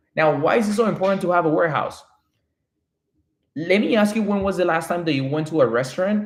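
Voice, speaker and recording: A man's high voice at a very fast pace broken by long, frequent pauses, with audible room echo. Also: ordinary pitch variation. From Colombia. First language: Spanish. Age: 30s. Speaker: real estate developer. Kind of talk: live stream chat. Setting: live stream from home. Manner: animated.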